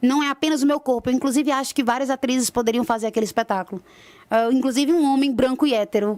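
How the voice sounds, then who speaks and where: A woman speaks with a Ceará accent and ordinary pitch variation. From Ceará, Brazil. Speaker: stage actress. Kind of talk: radio interview.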